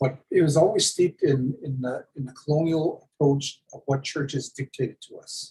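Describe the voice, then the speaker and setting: A man talks at a moderate pace with hardly any pauses, his pitch fairly high. His tone is dark and mellow, somewhat breathy, with fairly even intonation. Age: 60s. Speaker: First Nations chief. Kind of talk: casual chat. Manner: halting, many repeated words.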